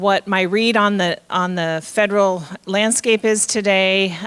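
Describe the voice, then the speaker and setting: A woman is speaking. Her pitch sits in the medium range. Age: 60s. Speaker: state aging official. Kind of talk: public speech. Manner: halting.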